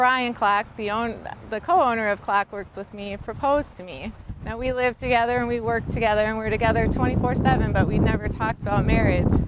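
A woman with an American accent, fairly high-pitched, at a fairly quick pace with fairly even intonation, over noticeable background noise. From US Midwest, South Dakota. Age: 30s. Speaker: motorcycle racer and custom bike shop co-owner. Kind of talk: casting video monologue.

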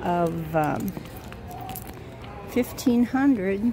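A woman's intonation is lively as music plays in the background. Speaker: shopping vlogger. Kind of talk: casual vlog chat. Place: shop. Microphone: phone near.

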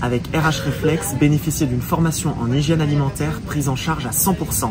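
A man's voice with ordinary pitch variation and music in the background. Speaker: food vlogger. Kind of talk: casual vlog chat. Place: cafe.

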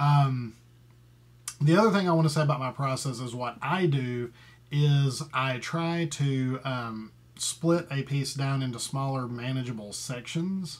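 Somewhat breathy, a man speaks at a fairly slow pace and a fairly high pitch with ordinary pitch variation. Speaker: composer. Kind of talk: tutorial. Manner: hesitant, many fillers; thinking aloud while working. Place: home room. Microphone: webcam.

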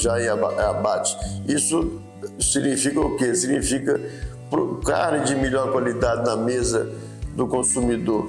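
Fairly slow speech from a man, with clear music in the background. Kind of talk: interview answer. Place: office. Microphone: lapel.

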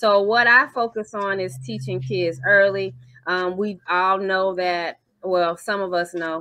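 A woman at a fairly slow pace, against a quiet background, in a dry sound with no echo. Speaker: remote guest, children's financial educator. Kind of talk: interview answer. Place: home room. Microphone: video call.

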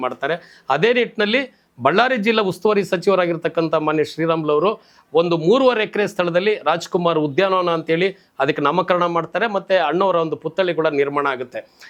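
The man speaks with a high pitch and ordinary pitch variation. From Karnataka, Shivamogga (Malnad). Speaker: Kannada activist, organisation founder. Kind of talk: interview monologue.

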